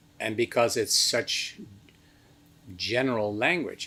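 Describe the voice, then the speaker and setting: A man with a Dutch accent at a fairly slow pace. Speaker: meditation teacher. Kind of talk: lecture.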